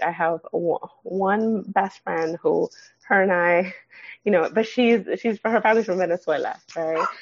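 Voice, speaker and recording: A woman's medium-pitched voice proceeds at a moderate pace. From San Fernando Valley, California. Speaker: clinical social worker. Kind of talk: casual interview. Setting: at home with sleeping baby.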